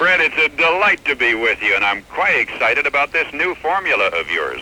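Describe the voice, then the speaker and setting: Noticeable background noise runs under a man who talks fairly quickly. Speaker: famous radio newscaster and broadcaster. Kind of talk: radio interview answer.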